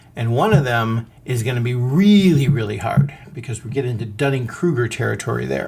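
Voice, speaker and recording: This man sounds somewhat breathy and animated, talking at a moderate pace with lively intonation. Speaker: podcast host. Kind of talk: podcast monologue.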